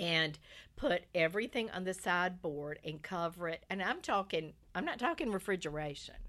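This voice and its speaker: A woman with a North Carolina accent speaks at a fairly low pitch and a moderate pace, using ordinary pitch variation. Her tone is bright and sharp, on a very clean recording with a silent background. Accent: US Southern (North Carolina). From North Carolina, Lumberton. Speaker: guest storyteller. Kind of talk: casual interview chat.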